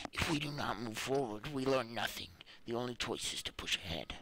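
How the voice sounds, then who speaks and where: Man doing a put-on character voice at a medium pitch and fairly quick pace, over light background noise. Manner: resolute, determined.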